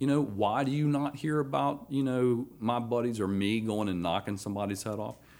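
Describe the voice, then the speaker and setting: A man with a Georgia accent at medium pitch, fairly quick pace, hardly any pauses and ordinary pitch variation. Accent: Southern American (Georgia). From US South, Athens, Georgia. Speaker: retired army officer, veteran. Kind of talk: casual interview. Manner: halting, many fillers.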